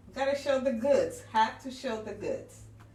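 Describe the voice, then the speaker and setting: With audible room echo, a woman speaks loud at a fairly slow pace, her high-pitched voice carrying an animated tone. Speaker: online business vlogger. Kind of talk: casual livestream talk. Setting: home livestream.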